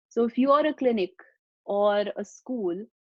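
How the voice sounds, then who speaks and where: A woman's fairly high voice in an Indian accent. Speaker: webinar presenter for a nonprofit. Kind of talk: webinar presentation. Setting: online webinar.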